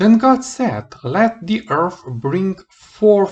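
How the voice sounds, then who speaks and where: Using a non-native accent, a man speaks at a very slow pace in a somewhat breathy voice. His pitch swings very widely. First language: not English. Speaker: Bible reader. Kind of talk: reading aloud; casual chat. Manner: halting.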